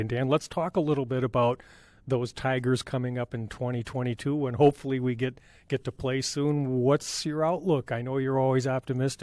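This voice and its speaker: A man uses a normal speaking voice at a medium pitch with fairly even intonation. The sound is dry and close with no echo, a very clean recording with a silent background. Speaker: podcast host interviewer. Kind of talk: podcast interview host.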